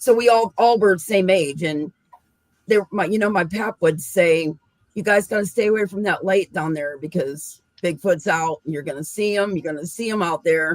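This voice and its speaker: Using an ordinary speaking voice, a woman with an American accent talks in a fairly low pitch at a moderate pace. Her pitch varies in an ordinary way, and the sound is dry and close with no echo. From western Pennsylvania. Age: 60s. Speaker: cryptid researcher. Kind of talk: casual chat.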